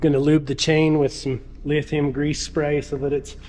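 A man is speaking. His pace is moderate. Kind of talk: casual vlog chat. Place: garage. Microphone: phone near.

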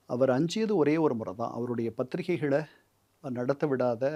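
This man has a medium-pitched voice with a dark, mellow tone and lively intonation. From Chennai, Tamil Nadu. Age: 60s. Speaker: retired UN political officer and author. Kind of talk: interview.

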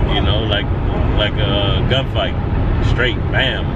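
The man's sound is dry with no echo, and his pace is moderate. Loud background noise runs throughout. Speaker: vlogger. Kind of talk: casual vlog chat. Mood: reflective, determined. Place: car. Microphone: phone near.

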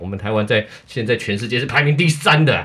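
The speaker talks very fast. The pitch varies in an ordinary way. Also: man. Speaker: sports show host. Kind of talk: hosted sports talk show. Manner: animated.

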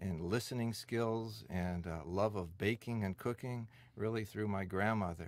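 A man with a Midwestern American accent speaks at a fairly low pitch with fairly even intonation. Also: very clean recording, silent background. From US Midwest (Detroit). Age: 50s. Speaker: senior center director. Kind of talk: oral history interview.

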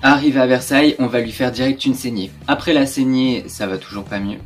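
With light background noise, a man speaks at a moderate pace with ordinary pitch variation. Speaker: history storyteller. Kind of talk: casual history storytelling vlog. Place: home room.

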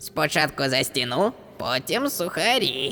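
A man uses a put-on character voice at a fairly high pitch. He goes at a fairly slow pace over clear background noise. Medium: fan dub. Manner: parroting, mimicking others' phrases.

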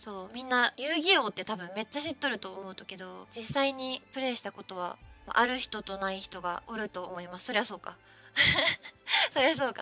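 Fairly quick delivery in a Kyushu accent, lively intonation and big swings in loudness, over faint music in the background. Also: woman, fairly high pitch for a woman. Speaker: virtual streamer. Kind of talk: casual live-stream gameplay commentary. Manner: upbeat, excitable.

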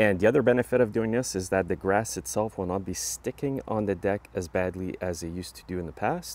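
The man's pitch is fairly low and his tone slightly mellow. He talks at a fairly quick pace with ordinary pitch variation.

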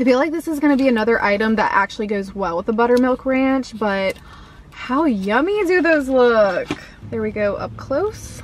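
A woman with an American accent and a high pitch speaks at a moderate pace with lively intonation, in a dry sound with no echo and light background noise. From US South. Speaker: food vlogger. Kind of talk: casual vlog taste test. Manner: animated. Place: car. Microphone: phone near.

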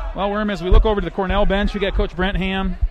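A man speaks at a fairly quick pace with light background noise. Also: dry sound with no echo. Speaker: sports commentator. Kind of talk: live sports commentary, play-by-play of a wrestling match. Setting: broadcast from college gym with crowd. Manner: rapid, clipped play-by-play calls; energetic, friendly banter.

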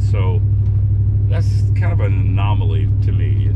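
Loud background noise runs under a man's voice. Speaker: truck owner vlogger. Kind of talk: casual vlog chat. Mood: relaxed, chatty. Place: car. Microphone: phone near.

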